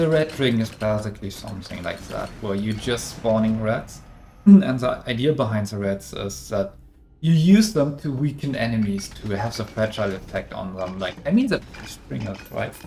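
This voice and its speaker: A moderate pace with a German accent. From Germany. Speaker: game developer. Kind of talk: live stream Q&A. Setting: live stream. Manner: halting.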